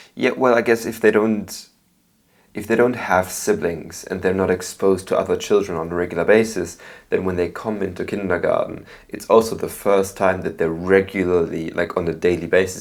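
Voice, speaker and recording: In a Belgian accent, a man talks at a fairly quick pace, his fairly low pitch carrying fairly even intonation. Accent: Belgian German-speaking accent in English. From Belgium. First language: German. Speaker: podcast host. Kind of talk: interview.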